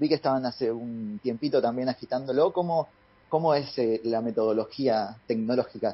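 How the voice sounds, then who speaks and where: Moderately paced with ordinary pitch variation, this is an ordinary speaking voice. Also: man, medium pitch for a man. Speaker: radio host. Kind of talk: casual radio chat.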